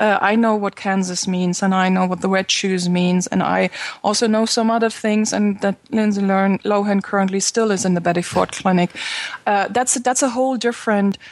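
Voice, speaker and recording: At a moderate pace, a woman speaks at a medium pitch with fairly even intonation and very even loudness. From Germany. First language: German. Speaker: social media consultant and podcaster. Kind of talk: interview conversation.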